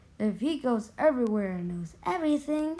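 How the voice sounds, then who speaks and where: This woman's voice sits high. She is doing a put-on character voice. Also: moderate pace. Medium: read story.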